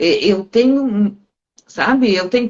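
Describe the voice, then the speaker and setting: A woman's somewhat breathy, fairly high voice at a very slow pace, with lively intonation. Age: 60s. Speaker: live stream host on self-development. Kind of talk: casual conversation on a live stream.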